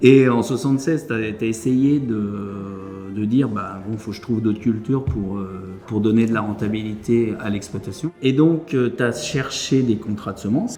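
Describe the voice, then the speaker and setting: Over music in the background, a man talks at a fairly slow pace and medium pitch, with ordinary pitch variation and hardly any pauses. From France, Beauce. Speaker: farmer. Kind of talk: testimony. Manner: halting.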